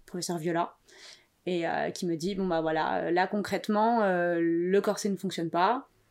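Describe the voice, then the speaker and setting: On a very clean recording with a silent background, a woman speaks at a medium pitch in an ordinary speaking voice with fairly even intonation. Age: 20s. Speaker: podcast guest, freelancer. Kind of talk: personal testimony interview.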